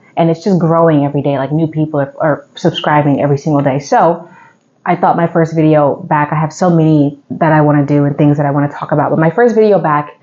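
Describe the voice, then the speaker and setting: A woman speaks with a very deep, low pitch. Her intonation is fairly even. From Texas, Houston. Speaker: YouTuber, political commentator. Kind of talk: Q&A vlog monologue. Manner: casual, many fillers.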